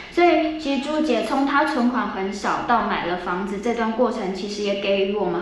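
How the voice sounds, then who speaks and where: Noticeable background noise and audible room echo surround this woman. She talks at a moderate pace with lively intonation. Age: 30s. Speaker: production team member. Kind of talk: prepared speech.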